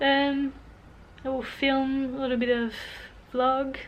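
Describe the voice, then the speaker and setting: A woman is speaking. Her pitch is high. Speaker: artist and vlogger. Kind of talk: casual vlog monologue.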